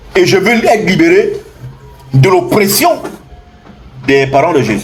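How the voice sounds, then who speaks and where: A man talks at a fairly slow pace with lively intonation. Noticeable background noise and audible room echo fill the recording. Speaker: spiritual teacher. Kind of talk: impassioned lecture. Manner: loud; animated.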